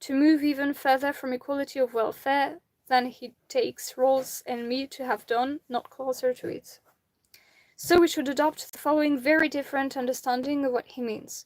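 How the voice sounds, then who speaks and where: A woman with a French accent speaks at a high pitch and a moderate pace. Her intonation is fairly even, and the sound is dry and close with no echo. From France. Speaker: amateur reader of philosophy. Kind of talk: reading aloud; casual chat.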